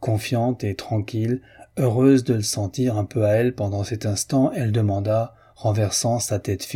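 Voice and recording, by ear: Intonation remains fairly even. The text is read aloud in a natural voice.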